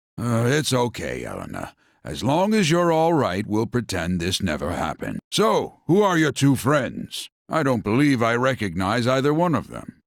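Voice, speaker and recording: A man's put-on character voice at medium pitch and a moderate pace, with very wide pitch swings, on a very clean recording with a silent background. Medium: video game. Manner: warm, fatherly.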